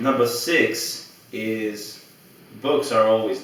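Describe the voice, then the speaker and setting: With a Greek accent, a man speaks at medium pitch and with fairly even intonation over noticeable background noise. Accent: Greek, trouble pronouncing English names. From Greece. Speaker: blogger and video host. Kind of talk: casual talk to camera. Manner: halting, many fillers.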